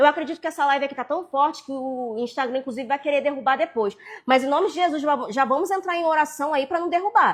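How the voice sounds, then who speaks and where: A woman with a high-pitched voice talks at a very fast pace in an animated tone with ordinary pitch variation. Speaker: preacher. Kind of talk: live sermon. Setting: social media livestream.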